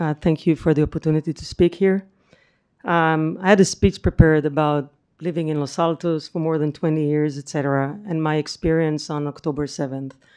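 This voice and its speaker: A woman speaks with an Israeli accent at a very deep, low pitch, her tone dark and mellow. Her pace is fairly quick and her intonation fairly even. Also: quiet background. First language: Hebrew. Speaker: public commenter. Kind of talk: public comment. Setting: city council meeting.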